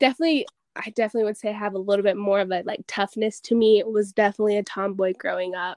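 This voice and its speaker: A woman's medium-pitched voice with an American accent, very fast pace and fairly even intonation, in a dry, close sound with no echo. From Utah, Pleasant Grove. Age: 20s. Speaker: vintage clothing store owner. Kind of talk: casual interview.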